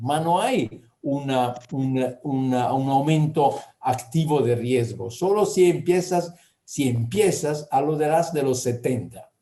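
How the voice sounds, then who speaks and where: There is audible room echo in the recording. Within it, a man talks with lively intonation. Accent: Italian. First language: Italian (speaking Spanish). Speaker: gynecological endocrinology professor. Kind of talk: lecture Q&A answers. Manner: halting.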